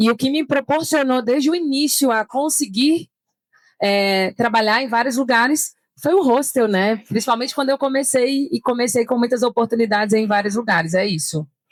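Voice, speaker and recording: A woman's high, lively voice sounds dry and close with no echo, in a very clean recording with a silent background. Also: moderate pace, very even loudness. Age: 30s. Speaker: events entrepreneur and digital nomad. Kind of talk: panel discussion. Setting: trade fair stand with live audience.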